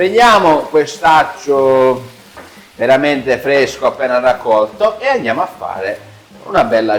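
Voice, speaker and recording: Over music in the background, a man with a slight Sicilian accent talks at a fairly slow pace in a fairly high pitch with very wide pitch swings. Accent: mild Ragusa Sicilian. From Sicily, Vittoria area (Ragusa province). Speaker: cooking show host. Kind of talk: cooking demonstration, casual chat.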